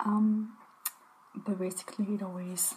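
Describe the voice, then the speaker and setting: Soft-spoken and calm in tone, a woman talks over light background noise. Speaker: ASMR creator. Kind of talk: casual talk to camera, shopping haul. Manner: soft-spoken, calm. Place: home room.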